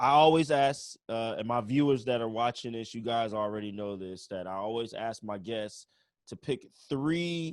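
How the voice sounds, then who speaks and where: Using a plain, everyday voice, the man speaks at a fairly slow pace with lively intonation at a medium pitch. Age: 30s. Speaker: webinar host, bass player and music professor. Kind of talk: casual interview. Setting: video call livestream.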